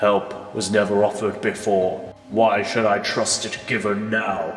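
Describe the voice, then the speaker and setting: A put-on character voice moves at a fairly slow pace with fairly even intonation. Clear music plays in the background, and there is slight echo. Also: man, fairly low pitch for a man. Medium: audio drama. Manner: cold, clipped, grave.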